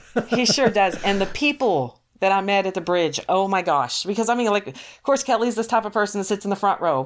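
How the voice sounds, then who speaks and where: In a very clean recording with a silent background, a woman at medium pitch speaks at a fairly quick pace with lively intonation and hardly any pauses. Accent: American. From Texas. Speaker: social worker. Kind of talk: testimony. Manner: hesitant, many fillers.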